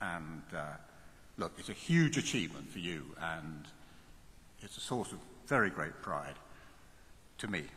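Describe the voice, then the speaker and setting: A man's bright, sharp voice with lively intonation and audible room echo. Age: 70s. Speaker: university chancellor. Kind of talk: commencement speech. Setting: large hall with audience. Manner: animated.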